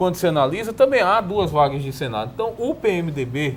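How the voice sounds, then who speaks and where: A man with a high pitch and very wide pitch swings. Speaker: political commentator. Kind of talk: panel debate. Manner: fast.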